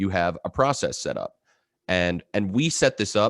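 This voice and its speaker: A man with a fairly low pitch is heard in a dry, close sound with no echo. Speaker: marketing director. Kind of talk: webinar presentation. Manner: fast.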